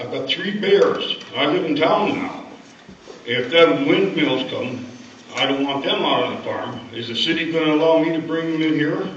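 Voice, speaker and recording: A man with a North Dakota accent speaks at a moderate pace in a fairly high voice with ordinary pitch variation, over noticeable background noise and audible room echo. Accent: Upper Midwest rural North Dakota. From North Dakota, Wells and Eddy County. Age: 70s. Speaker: farmer. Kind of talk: public comment at a county meeting. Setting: public meeting hall. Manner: halting.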